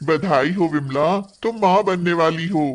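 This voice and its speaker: A man puts on a cartoonish character voice, pitched high and speaking at a fairly slow pace with ordinary pitch variation. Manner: warm, reassuring.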